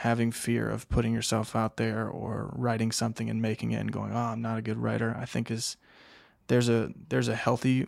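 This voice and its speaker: This is a very clean recording with a silent background. The speaker keeps a moderate pace. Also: man. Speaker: filmmaker. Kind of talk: interview.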